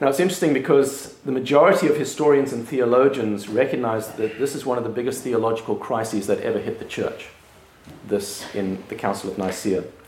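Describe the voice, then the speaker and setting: Ordinary pitch variation marks this fairly quick delivery. Noticeable background noise is present. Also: man, medium pitch for a man. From South Africa. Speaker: pastor. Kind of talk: lecture.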